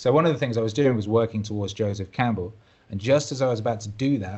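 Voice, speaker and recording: With a British accent, a man speaks at a very fast pace in a fairly low, somewhat breathy voice. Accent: British, sometimes mistaken for Australian. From Wales. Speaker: musician and DJ. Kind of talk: podcast interview.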